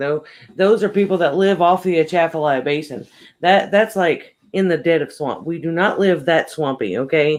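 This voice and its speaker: A man talks with a southwest Louisiana accent at a high pitch. His pace is moderate and his pitch variation ordinary. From southwest Louisiana, USA.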